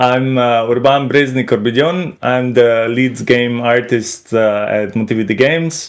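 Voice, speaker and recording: Here a man speaks with a Slovenian accent. His pace is fairly slow and his intonation fairly even. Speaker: game artist. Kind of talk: video interview. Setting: video call on Discord.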